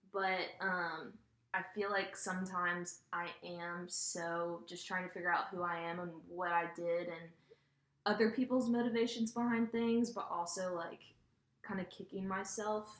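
A woman with an unremarkable speaking voice, medium pitch, fairly even intonation and a fairly slow pace. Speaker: college student. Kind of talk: casual chat.

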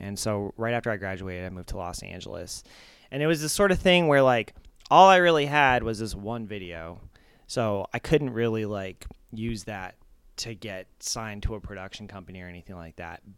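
On a very clean recording with a silent background, a man with a General American accent talks fairly quickly in a fairly low pitch, his lively intonation and big swings in loudness carried by an unremarkable speaking voice. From Arizona suburb. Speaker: music video director. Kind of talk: casual interview. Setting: home kitchen, handheld mic.

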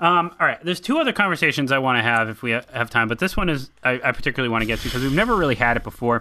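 His tone comes across bright and sharp. The man has an American accent. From central Massachusetts. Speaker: podcast host. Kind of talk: casual film discussion.

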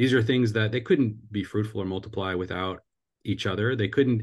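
With a plain, everyday voice, a man talks at a fairly low pitch and with fairly even intonation. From US Pacific Northwest (Seattle area). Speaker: family ministry co-founder and author. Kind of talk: interview.

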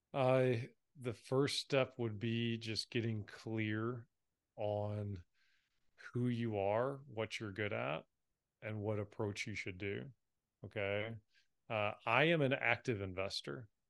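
At a very slow pace, a man talks with ordinary pitch variation and long, frequent pauses. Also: medium pitch for a man, quiet background. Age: 30s. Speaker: real estate investor. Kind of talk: interview.

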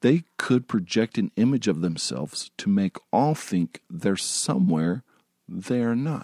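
Very slowly, a man speaks at medium pitch in a dark, mellow tone. His pitch swings very widely. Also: dry, close sound with no echo. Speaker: podcast host. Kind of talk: casual monologue. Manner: halting.

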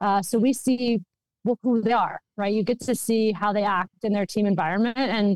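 Using a plain, everyday voice with an American accent, a woman speaks at a moderate pace with a fairly high pitch and fairly even intonation, in a dry, close sound with no echo. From Minnesota, US. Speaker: hockey executive and former lawyer. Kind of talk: interview answers.

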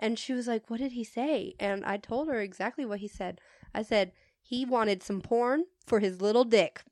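Speaking in an animated tone, a woman has a fairly high voice with ordinary pitch variation, at a moderate pace. The background is quiet, and the sound is dry and close with no echo. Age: 30s. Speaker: retail worker and podcast host. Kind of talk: casual chat. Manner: animated, laughs a lot.

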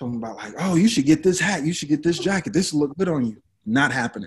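The intonation is lively. It comes in an American accent. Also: man. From Brooklyn, New York. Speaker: fashion designer and shop owner. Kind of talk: casual interview. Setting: remote call. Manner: halting, many fillers.

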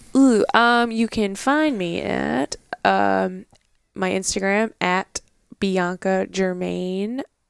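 A woman talks at a very slow pace. The sound is dry and close, with no echo. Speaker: outdoors photographer. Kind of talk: casual interview chat. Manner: casual, filler-heavy.

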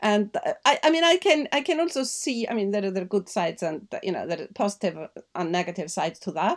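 Speaking very fast with hardly any pauses, a woman with an Icelandic accent swings her medium-pitched voice very widely. The recording is very clean, with a silent background. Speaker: journalist and novelist. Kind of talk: interview.

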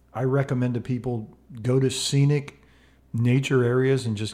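A man's dark, mellow tone. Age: 50s. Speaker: mindfulness educator and podcast co-host. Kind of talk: casual chat. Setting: home studio.

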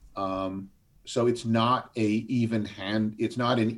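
This man has an unremarkable speaking voice, pitched fairly low. The recording is very clean, with a silent background. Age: 60s. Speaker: advocacy group chair, retired finance executive. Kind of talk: interview.

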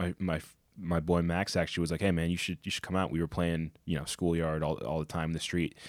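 A man with an American accent speaks at a very fast pace in a very deep, low voice. His intonation is monotone and flat, on a very clean recording with a silent background. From Connecticut, US. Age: 20s. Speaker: former college football player. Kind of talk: interview.

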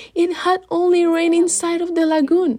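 A woman with a Spanish accent, dark and mellow in tone, at a fairly slow pace. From Mexico City. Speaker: storyteller. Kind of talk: storytelling.

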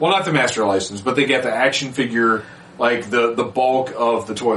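With noticeable background noise behind him, a man speaks at a medium pitch with ordinary pitch variation. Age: 40s. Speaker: podcast host. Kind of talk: casual chat.

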